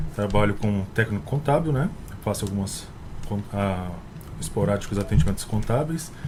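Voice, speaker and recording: Against noticeable background noise, a man with a fairly low pitch talks at a moderate pace, his intonation lively and his pauses long and frequent. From São Paulo interior, Brazil (Miguelópolis). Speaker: accountant and columnist. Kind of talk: radio talk show. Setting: radio studio.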